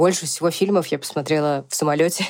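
A woman with a very deep, low pitch, talking at a very fast pace. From Russia, Siberia (Tomsk). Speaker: podcast co-host. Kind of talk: casual chat. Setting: remote recording, hosts in different countries.

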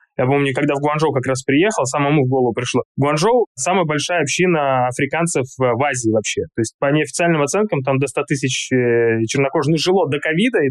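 A man speaks at a fairly quick pace in an ordinary speaking voice, fairly high in pitch with ordinary pitch variation. His loudness stays very even, and the sound is dry and close with no echo. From Siberia, Russia. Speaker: China market expert, company founder. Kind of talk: interview.

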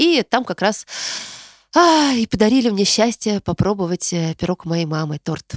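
A woman's medium-pitched, warm-toned voice with very wide pitch swings and a dry, close sound with no echo. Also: very clean recording, silent background. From Tarusa, Kaluga region, Russia. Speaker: podcast host, psychologist. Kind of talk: solo monologue, year-end recap, reading listener messages. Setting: recorded in her hometown. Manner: warm, conversational, friendly.

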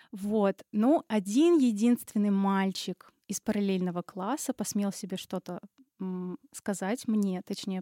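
Against a very clean recording with a silent background, a woman speaks at a medium pitch and a very slow pace with ordinary pitch variation. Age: 20s. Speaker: recent pedagogy graduate. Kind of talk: casual chat.

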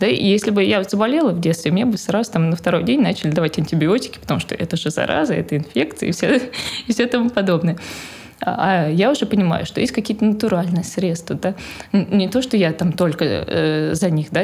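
Amid noticeable background noise, a woman talks at a medium pitch and a fairly quick pace. Her intonation is lively and her loudness very even. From Moscow, Russia. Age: 20s. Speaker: mother of four, homeschooling parent. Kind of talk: casual interview chat.

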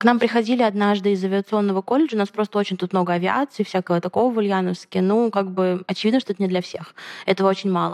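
Very fast and fairly even in intonation, a woman talks at a medium pitch in a dry, close sound with no echo. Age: 20s. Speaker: podcast host. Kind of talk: casual chat.

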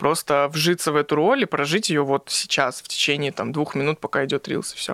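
A man talks at a fairly quick pace and a fairly high pitch. His tone is bright and sharp, with fairly even intonation. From Russia, Magnitogorsk (Chelyabinsk region). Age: 20s. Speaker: comedy blogger. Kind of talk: casual chat. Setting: studio.

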